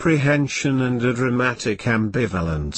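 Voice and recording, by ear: Lively intonation in a stretch of reading aloud in a natural voice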